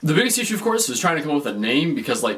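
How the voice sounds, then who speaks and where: A man speaks loudly in an animated tone. Noticeable background noise sits behind him. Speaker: vlogger. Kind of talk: casual vlog monologue.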